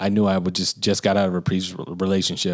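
In a very clean recording with a silent background, a man with an American accent speaks in a very deep, low pitch. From US South, Birmingham, Alabama. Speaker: podcast co-host, musician. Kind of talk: casual chat.

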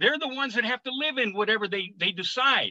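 A man's extremely high, raised and projected voice, bright and sharp in tone, animated, with ordinary pitch variation and a dry, close sound free of echo. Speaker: political activist. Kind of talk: panel discussion. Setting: video call.

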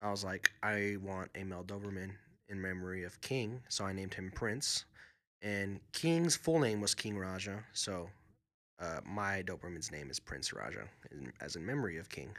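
A man with an unremarkable speaking voice, fairly low in pitch, lively in intonation, at a moderate pace, in a very clean recording with a silent background. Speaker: podcast host. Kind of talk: casual chat.

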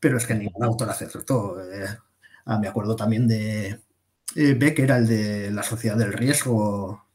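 In a plain, everyday voice, a man talks at medium pitch. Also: fairly slow pace. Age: 30s. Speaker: defense magazine editor. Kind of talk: interview.

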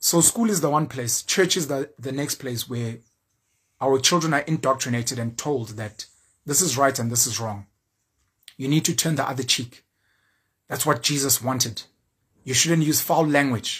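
Speaking with a South African accent at a medium pitch and moderate pace, a man sounds animated, with ordinary pitch variation and long, frequent pauses. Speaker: YouTuber and social commentator. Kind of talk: opinion monologue.

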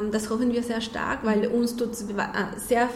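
A woman's monotone, flat voice with a Spanish accent, audible room echo and noticeable background noise. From Mexico. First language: Spanish (speaking German). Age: 30s. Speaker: nonprofit president. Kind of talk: radio interview. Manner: halting, repeats words.

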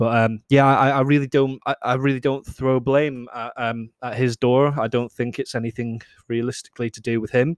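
In a very clean recording with a silent background and a dry, close sound with no echo, a man with a Scottish accent speaks at medium pitch in a flat monotone, with hardly any pauses and big swings in loudness. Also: moderate pace. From Scotland. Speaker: podcast host. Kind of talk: solo casual monologue. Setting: alone in a room. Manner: hesitant, many fillers.

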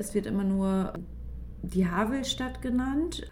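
Speech comes at a very slow pace. There is a somewhat breathy quality to it. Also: woman. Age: 30s. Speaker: teacher and podcast host. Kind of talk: casual chat.

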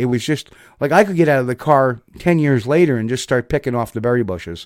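With a New Jersey accent, a man speaks at a moderate pace and medium pitch with ordinary pitch variation. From US Northeast, New Jersey. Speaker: online show host and bigfoot researcher. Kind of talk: casual chat. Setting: video call.

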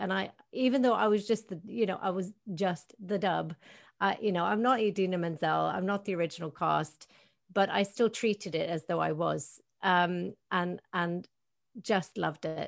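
With a Norwegian accent, a woman speaks at a medium pitch and moderate pace with ordinary pitch variation. The recording is very clean, with a silent background. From Northern Norway. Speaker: actress and voice actress. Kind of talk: interview. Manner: animated.

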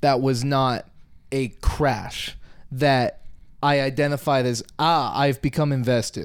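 Animated in tone, a man talks fairly slowly at a fairly high pitch. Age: 20s. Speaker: podcast co-host. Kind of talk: casual chat.

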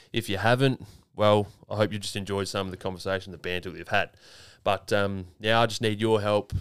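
This man speaks with an Australian accent, fairly low in pitch and at a fairly quick pace, in a monotone, flat intonation. The recording is very clean with a silent background. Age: 30s. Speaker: podcast host. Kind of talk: casual chat.

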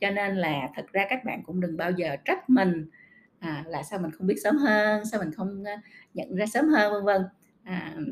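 Somewhat breathy female voice with lively intonation. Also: medium pitch for a woman, moderate pace. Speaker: podcast host. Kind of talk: casual monologue podcast.

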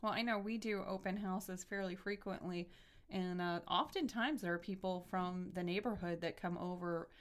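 An unremarkable speaking voice with fairly even intonation at a fairly quick pace. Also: woman. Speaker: radio show host. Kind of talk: casual interview.

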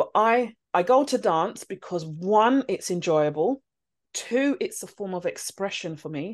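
Against a quiet background, a woman speaks with a London accent and lively intonation. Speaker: teacher. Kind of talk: interview conversation.

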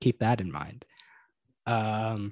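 Against a quiet background, a man with an unremarkable speaking voice talks at a fairly slow pace with fairly even intonation, the sound dry and close with no echo. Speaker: podcast co-host.

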